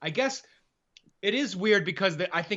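Speaking at a moderate pace, a man with an American accent shows ordinary pitch variation. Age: 30s. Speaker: author and editor. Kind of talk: casual chat.

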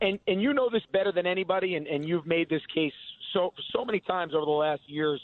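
A man with an American accent, high-pitched, very fast, with ordinary pitch variation. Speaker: political candidate. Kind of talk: interview. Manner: energetic.

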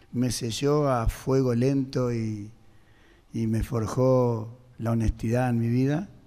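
A man's dark, mellow voice at medium pitch, fairly even in intonation, with audible room echo. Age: 60s. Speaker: singer. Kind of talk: testimony. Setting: radio auditorium with audience.

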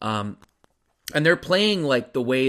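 A man speaks with a West Coast American accent. The recording is very clean, with a silent background. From California, San Francisco Bay Area. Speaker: basketball podcast host. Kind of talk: solo podcast monologue. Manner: casual with many fillers and repetitions.

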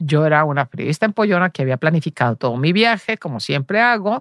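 In a very clean recording with a silent background and a dry, close sound with no echo, a woman talks at a very fast pace with very wide pitch swings. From Mexico, Los Altos de Jalisco. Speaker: journalist and cultural manager. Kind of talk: interview.

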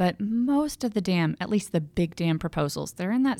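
An unremarkable speaking voice with an American accent moves at a moderate pace. The recording is very clean, with a silent background. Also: woman. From Texas, Houston. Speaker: environmental historian. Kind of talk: interview. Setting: studio.

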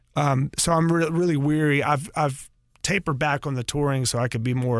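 A man with a Southern US accent speaks at a moderate pace, with medium pitch and ordinary pitch variation. The very clean recording has a silent background and a dry, close sound with no echo. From North Carolina. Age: 50s. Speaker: rock guitarist. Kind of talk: casual interview.

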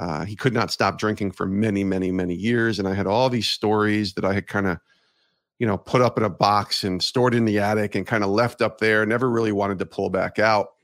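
A normal speaking voice from a man with an American accent, fairly low in pitch with fairly even intonation, at a fairly quick pace on a very clean recording with a silent background. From US Northeast, Albany area of New York. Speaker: sports broadcaster and podcaster. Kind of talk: interview.

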